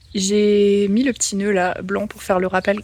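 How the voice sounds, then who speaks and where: Clear background noise fills the recording. Through it, a woman talks. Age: 20s. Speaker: handmade clothing designer. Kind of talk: casual vlog talk to camera.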